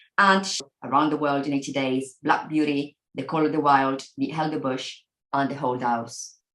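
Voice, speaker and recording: Someone with an Italian accent talks at a moderate pace with fairly even intonation. Room echo is audible. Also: woman, very deep, low pitch for a woman. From Italy. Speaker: professor. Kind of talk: lecture. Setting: video call.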